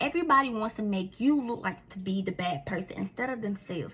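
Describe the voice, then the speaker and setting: A woman talks at a very fast pace in a Southern US accent. Her tone is animated. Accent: country Southern. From Mississippi, US South. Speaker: vlogger. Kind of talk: casual talk to camera. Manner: repeats words, stumbles.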